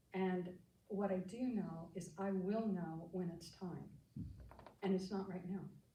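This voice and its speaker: A woman with an American accent speaks at a medium pitch and a fairly slow pace. Her tone is dark and mellow, somewhat breathy, and the room echo is audible. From US Midwest (Kansas Flint Hills farm). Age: 80s+. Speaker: psychotherapist. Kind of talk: life story talk.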